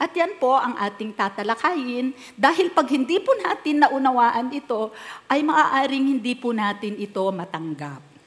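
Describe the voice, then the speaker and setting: Against noticeable background noise, a woman with a high pitch speaks at a fairly slow pace, her pitch swinging very widely. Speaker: pastor. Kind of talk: sermon.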